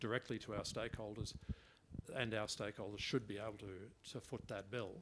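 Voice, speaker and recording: Speaking quickly with fairly even intonation, a man with an Australian accent and a fairly low pitch is heard over noticeable background noise. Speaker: head of a regional internet address registry. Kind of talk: workshop discussion. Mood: earnest, concerned about funding. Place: meeting room.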